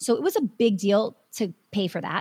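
A woman's fairly high, somewhat breathy voice with very wide pitch swings, on a very clean recording with a silent background. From Wisconsin. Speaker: business coach and dance studio owner. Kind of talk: interview.

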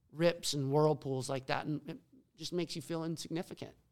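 Fairly quick and fairly high-pitched, a man talks in an ordinary speaking voice with fairly even intonation. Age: 40s. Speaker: big wave surfer. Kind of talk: casual chat.

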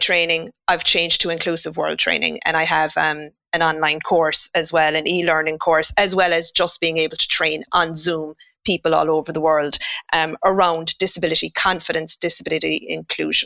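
In a Cork accent, this bright, sharp voice moves at a moderate pace, with a dry, close sound and no echo. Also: woman. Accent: Cork Irish. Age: 50s. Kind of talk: interview conversation.

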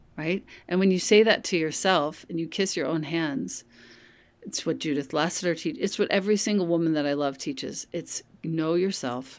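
A woman with a plain, everyday voice and fairly low pitch speaks at a moderate pace with lively intonation on a very clean recording with a silent background. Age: 50s. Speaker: yoga and meditation teacher. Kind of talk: casual chat.

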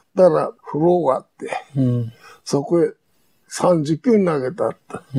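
A man speaks at a fairly slow pace with a Hiroshima accent, his pitch fairly high. The sound is dry and close with no echo, and his pitch varies in an ordinary way. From Japan, Hiroshima. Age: 90s. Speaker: war veteran. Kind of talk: testimony.

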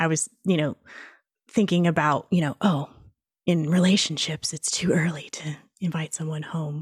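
In a very clean recording with a silent background and a dry, close sound free of echo, a woman speaks in a very deep, low pitch with a flat, monotone delivery, somewhat breathy and with long, frequent pauses. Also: moderate pace. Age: 40s. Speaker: intuitive reader. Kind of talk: interview.

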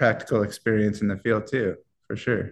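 With an American accent, a man speaks at a moderate pace in a fairly low pitch. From US Midwest, Iowa. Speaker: cannabis extraction expert. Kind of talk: casual interview. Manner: halting, many fillers.

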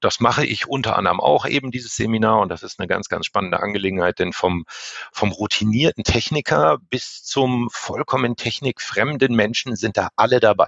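This man speaks at a fairly quick pace. His medium pitch shows ordinary variation. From northern Germany. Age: 50s. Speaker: elevator safety inspection manager. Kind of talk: interview.

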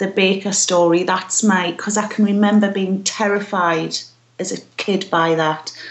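This woman has a medium-pitched voice and speaks with fairly even intonation. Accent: British. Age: 40s. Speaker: podcast contributor and blogger. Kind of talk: casual interview chat.

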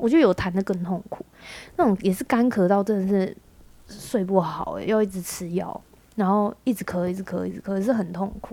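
Talking at a fairly quick pace, a woman with a medium pitch and ordinary pitch variation has a dark, mellow tone. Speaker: podcast host. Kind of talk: casual chat.

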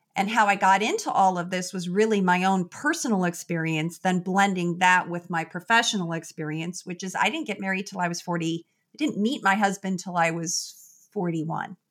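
A woman with a normal speaking voice talks at a moderate pace with ordinary pitch variation in a very clean recording with a silent background. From US Midwest, Chicago. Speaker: psychologist. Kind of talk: interview.

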